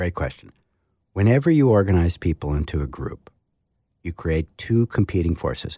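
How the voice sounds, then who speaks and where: The voice is dark, mellow and somewhat breathy, with lively intonation and a moderate pace broken by long, frequent pauses, on a very clean recording with a silent background. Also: man, very deep, low pitch for a man. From New England. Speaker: author. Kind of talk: interview.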